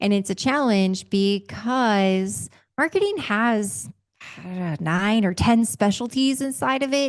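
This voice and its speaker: Against a quiet background, a woman with a plain, everyday voice and a medium pitch speaks fairly slowly with lively intonation. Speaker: revenue consulting company founder and CEO. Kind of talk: interview podcast conversation.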